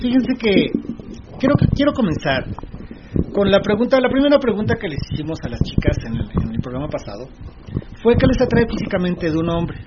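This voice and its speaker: With noticeable background noise behind him, a man with a high pitch speaks at a moderate pace, with very wide pitch swings and long, frequent pauses. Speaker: radio host. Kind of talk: casual chat.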